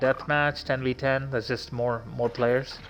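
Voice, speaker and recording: The speaker is a man with a medium-pitched voice. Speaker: gamer streamer. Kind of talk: casual game walkthrough commentary. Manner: slow.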